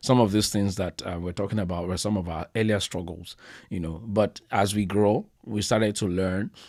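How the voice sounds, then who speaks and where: Over a silent background in a very clean recording, a man speaks with fairly low pitch, fairly even intonation and a moderate pace. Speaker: marriage podcast co-host. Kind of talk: casual chat. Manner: loud.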